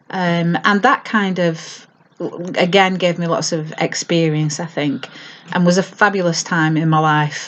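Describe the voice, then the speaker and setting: A fairly slow pace in a Lancashire accent, with fairly even intonation. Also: woman, fairly low pitch for a woman. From northern England, Lancashire (Accrington, Haslingden). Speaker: mental health trainer. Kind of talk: personal introduction to camera. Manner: hesitant, with frequent fillers.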